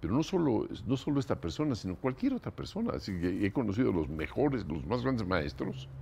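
A man's fairly low, dark and mellow voice with vocal fry, very wide pitch swings, a fairly quick pace and hardly any pauses, over light background noise. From Mexico. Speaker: composer; interviewee. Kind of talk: interview. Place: home room.

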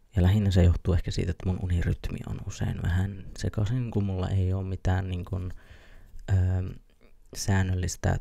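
A soft-spoken man's voice, very deep and low in pitch, dark and mellow, somewhat breathy. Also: quiet background. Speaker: ASMR creator. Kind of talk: ASMR casual rambling. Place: home room. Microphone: studio mic.

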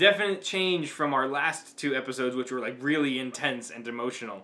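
Bright and sharp in tone, this man's voice comes through clearly. He moves along at a moderate pace. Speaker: reaction video host. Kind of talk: casual reaction commentary. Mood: engaged, warm. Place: home room. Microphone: webcam.

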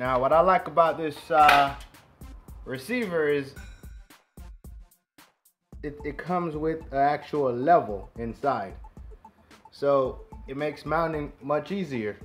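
Over faint background music, a man talks at a fairly slow pace with long, frequent pauses and ordinary pitch variation. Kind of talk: tutorial.

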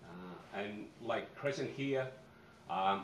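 Speaking with an Australian accent, a man uses a fairly low pitch and ordinary pitch variation against light background noise. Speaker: fisheries manager. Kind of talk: conference presentation. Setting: stage with audience. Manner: casual. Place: hall. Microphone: podium.

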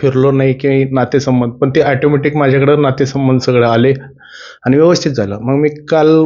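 A man talks with fairly even intonation at a medium pitch. His is an unremarkable speaking voice. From Maharashtra, Baramati, Pune district. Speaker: driver and devotee. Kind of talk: personal testimony.

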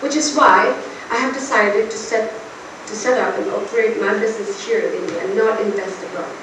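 Amid noticeable background noise and audible room echo, a woman speaks at a moderate pace with ordinary pitch variation. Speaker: speech or debate performer. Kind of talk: public speech. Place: hall. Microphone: camera far.

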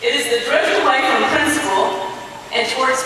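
A woman speaks in a raised, projected voice with strong room echo. Light background noise sits underneath. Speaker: politician. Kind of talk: political speech. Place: hall. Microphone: pa.

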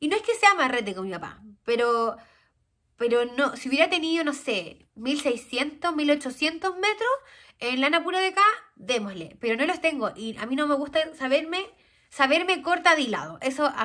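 In a Chilean accent, a woman uses a raised, projected voice with a high pitch, very wide pitch swings and a bright, sharp, animated tone against a quiet background. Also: moderate pace. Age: 30s. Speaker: knitting podcaster. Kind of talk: casual chat. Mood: cheerful, chatty. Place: home room.

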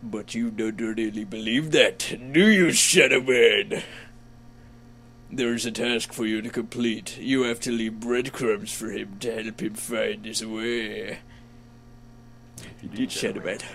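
Over clear background noise, a man does a put-on character voice at a medium pitch, moving at a fairly slow pace with long, frequent pauses. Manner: imitation of a cartoon bear character.

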